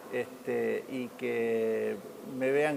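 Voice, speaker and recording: A man speaks over noticeable background noise. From Argentina, Santa Fe city. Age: 60s. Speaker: retired Olympic swimmer. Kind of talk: interview. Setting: sports museum. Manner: halting, with many repetitions.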